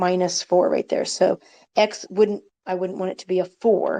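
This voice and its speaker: A woman speaks at medium pitch with ordinary pitch variation and a dark, mellow tone. The sound is dry and close, with no echo. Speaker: math teacher. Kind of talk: lecture.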